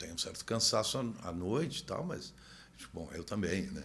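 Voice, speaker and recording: A man's fairly low voice with very wide pitch swings, in audible room echo. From Brazil. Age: 60s. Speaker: motorcycle traveler and author. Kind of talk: podcast interview. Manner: halting, many repetitions.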